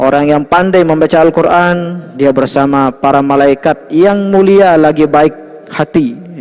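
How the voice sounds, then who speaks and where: A man's fairly high voice at a fairly slow pace, with fairly even intonation and very even loudness, over noticeable background noise. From Lombok, Indonesia. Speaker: Islamic religious teacher. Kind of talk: religious lecture. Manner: conversational, frequent 'ya' fillers.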